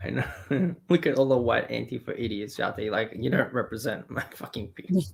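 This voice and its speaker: A man with an Australian accent, lively intonation and a fairly quick pace, over noticeable background noise. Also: medium pitch for a man. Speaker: streamer and podcast host. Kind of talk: casual chat. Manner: animated.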